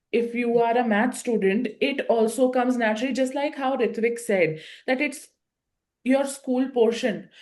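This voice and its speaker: This woman has an Indian accent and a high pitch. She speaks at a fairly slow pace. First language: an Indian language (English is second). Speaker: IPMAT coaching teacher interviewing students. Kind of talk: interview. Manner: animated.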